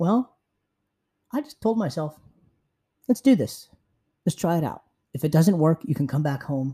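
Pausing long and often, a man speaks with a fairly high pitch, a dark, mellow tone and very wide pitch swings, in a dry, close sound with no echo. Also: moderate pace. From San Francisco, US. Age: 20s. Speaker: podcast host. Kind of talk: solo travel podcast monologue.

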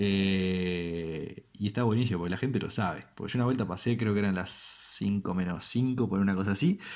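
A man talks with a Uruguayan accent. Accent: Uruguayan Rioplatense Spanish. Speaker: radio show host. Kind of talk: comedic monologue. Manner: halting, many fillers and repetitions.

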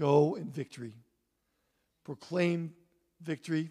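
A dark, mellow tone comes through at a fairly slow pace, with fairly even intonation. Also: man. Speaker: pastor. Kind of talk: closing remarks and announcements. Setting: church.

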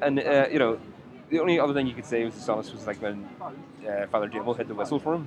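Very fast speech from a man at medium pitch, with ordinary pitch variation and noticeable background noise. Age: 30s. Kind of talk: casual chat. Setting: outdoors.

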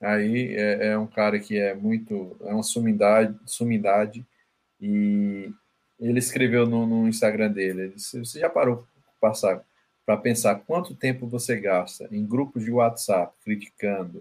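A fairly low-pitched man with fairly even intonation and a fairly slow pace. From Paraíba, northeastern Brazil. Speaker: legal management consultant. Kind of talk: interview conversation. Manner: halting, with frequent fillers.

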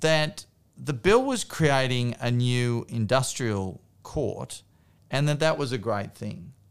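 The recording is very clean, with a silent background. A man with an Australian accent speaks at medium pitch and a very slow pace, with lively intonation. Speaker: politician and podcast host. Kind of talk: casual interview chat.

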